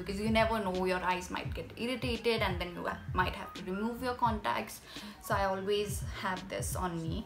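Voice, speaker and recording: A woman talks at a moderate pace while clear music plays in the background. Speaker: beauty vlogger. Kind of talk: casual vlog chat. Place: home room. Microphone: phone near.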